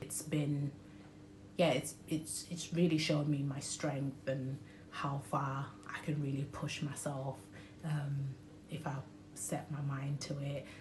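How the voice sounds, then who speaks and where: A very deep, low woman's voice in a British accent, monotone and flat, at a very slow pace, with audible room echo and noticeable background noise. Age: 20s. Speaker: vlogger sharing personal health story. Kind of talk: personal testimony vlog. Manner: hesitant, frequent um fillers.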